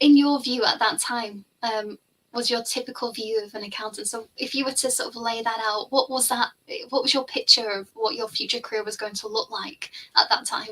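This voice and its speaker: With a Liverpool accent, a woman speaks at a moderate pace, her pitch fairly high and her tone bright and sharp. Her intonation stays fairly even. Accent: Liverpool (Scouse). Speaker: finance tutor. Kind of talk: casual chat. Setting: live stream.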